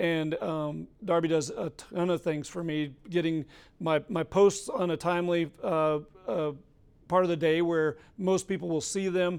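A man with an American accent speaks at a high pitch with fairly even intonation. His pace is fairly slow. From Colorado. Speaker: doctor. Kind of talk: interview. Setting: studio.

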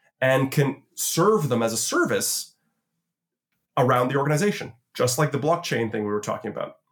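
Somewhat breathy male voice of medium pitch at a moderate pace. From Canada, Toronto. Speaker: futurist and conference founder. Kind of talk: interview conversation. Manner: hesitant, repeats words.

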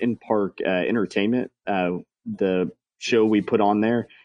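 This is an ordinary speaking voice with an American accent. The pace is fairly slow, and the pitch variation is ordinary. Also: man. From Texas. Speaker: baseball game entertainment manager. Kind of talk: interview. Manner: many filler words.

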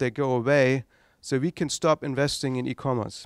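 In a very clean recording with a silent background, a man with a German accent speaks at a moderate pace. His fairly high voice sounds dry and close, without echo. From East Germany. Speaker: tech entrepreneur, founder. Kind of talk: lecture. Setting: stage with audience.

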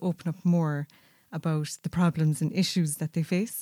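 A woman speaks at a moderate pace with fairly even intonation in an ordinary speaking voice, the sound dry and close with no echo on a very clean recording with a silent background. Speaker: product designer. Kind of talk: interview answers.

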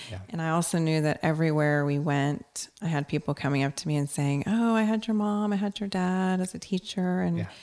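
In a very clean recording with a silent background, a woman with an American accent uses a plain, everyday voice, fairly low in pitch, with lively intonation at a fairly quick pace. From Texas, Corpus Christi. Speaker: judge. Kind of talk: interview. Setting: studio.

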